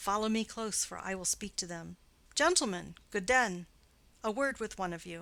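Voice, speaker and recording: In a put-on character voice, a woman speaks at a medium pitch with ordinary pitch variation. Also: moderate pace. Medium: read story. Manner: cold, haughty.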